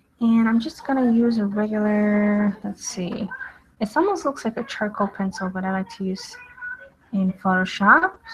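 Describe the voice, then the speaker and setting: A woman speaks with ordinary pitch variation and a moderate pace while noticeable background noise fills the recording. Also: fairly high pitch for a woman. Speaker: artist and drawing instructor. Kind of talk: live drawing tutorial. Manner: casual with many fillers.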